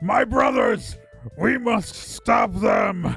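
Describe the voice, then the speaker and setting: Over faint background music, a man puts on a character voice at an extremely high pitch. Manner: shouting.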